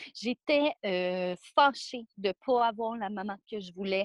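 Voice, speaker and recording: A woman with a normal speaking voice and a fairly high pitch speaks with ordinary pitch variation, and the recording is very clean, with a silent background and a dry, close sound with no echo. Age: 20s. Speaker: guest sharing life story. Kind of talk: testimony.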